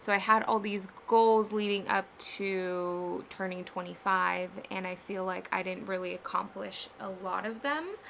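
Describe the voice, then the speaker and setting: Her pitch medium and her intonation fairly even, a woman speaks at a fairly slow pace. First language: Spanish. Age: 20s. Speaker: vlogger and ceramic artist. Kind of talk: casual vlog chat. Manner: halting on hard words.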